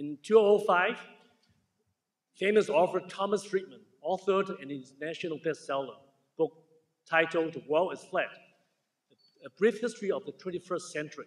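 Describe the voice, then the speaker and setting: A man with a strong Chinese accent speaks at a high pitch with ordinary pitch variation, big swings in loudness, and long, frequent pauses. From Hong Kong. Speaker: surgeon, keynote speaker. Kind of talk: ceremony keynote speech. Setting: stage with audience. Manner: halting, self-correcting.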